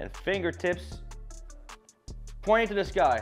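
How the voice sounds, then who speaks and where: Faint music sits behind the voice. A man talks at a moderate pace. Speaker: home cook host. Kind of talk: casual cooking tutorial. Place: kitchen.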